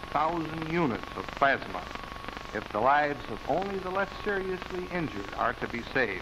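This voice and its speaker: There is noticeable background noise while a man is speaking. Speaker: city mayor. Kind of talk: public appeal in a newsreel. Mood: serious, urgent appeal. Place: office. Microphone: studio mic.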